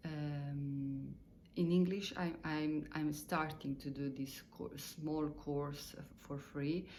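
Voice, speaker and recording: A woman's very deep, low pitch at a very slow pace, with fairly even intonation and audible room echo. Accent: non-native. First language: Italian or Croatian. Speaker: meditation teacher. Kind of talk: spoken lesson. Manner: halting, many fillers; simple, slow wording.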